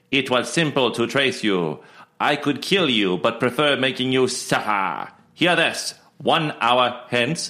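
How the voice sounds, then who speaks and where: In a very clean recording with a silent background, a man puts on a booming, robotic character voice at a medium pitch and a fairly slow pace. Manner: menacing, threatening.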